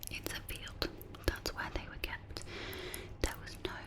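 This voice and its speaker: A woman whispers while noticeable background noise carries on around her. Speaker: ASMR creator. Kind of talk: ASMR storytelling. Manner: whispered.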